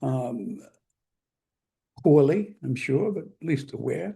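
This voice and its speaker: Very slow and dark, mellow in tone, a man with an American accent swings his pitch very widely. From England (London), later New Jersey. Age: 70s. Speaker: magazine publisher. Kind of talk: interview conversation.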